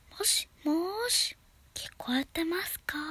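A whispered, put-on character voice at a fairly slow pace. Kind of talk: phone greeting, speaking into a phone.

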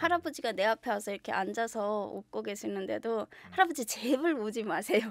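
The speech moves at a fairly quick pace with hardly any pauses, lively intonation and vocal fry, recorded dry with no echo against a quiet background. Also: woman, fairly high pitch for a woman. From North Korea (Yanggang Province); North Korea. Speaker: shaman/fortune teller; guest. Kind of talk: interview. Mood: relaxed, smiling. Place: studio. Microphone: studio mic.

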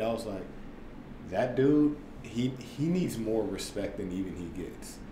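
A man with an American accent, ordinary pitch variation, and noticeable background noise. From US Midwest, St. Louis area; US Midwest. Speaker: former basketball player turned tech entrepreneur; podcast guest. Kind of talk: casual interview. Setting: studio, in person. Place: meeting room.

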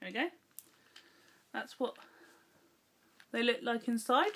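A woman in an English accent talks at a moderate pace with a high pitch. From England. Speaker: YouTuber. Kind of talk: casual vlog taste test.

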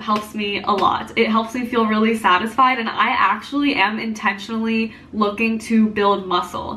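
The pace is moderate. The speaker is a woman. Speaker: dietitian vlogger. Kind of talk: casual tutorial vlog chat. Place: kitchen. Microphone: phone near.

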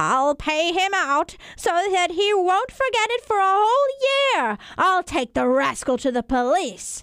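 A woman uses a put-on character voice with an extremely high pitch and very wide pitch swings. She talks at a fairly slow pace with hardly any pauses. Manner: scolding, then softening.

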